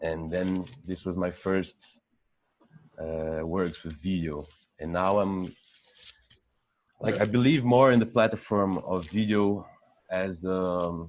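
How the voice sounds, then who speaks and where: A man with a Brazilian accent speaks at a very slow pace with long, frequent pauses. His voice is very deep and low, with ordinary pitch variation. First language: Portuguese. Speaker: photographer. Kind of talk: interview. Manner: halting.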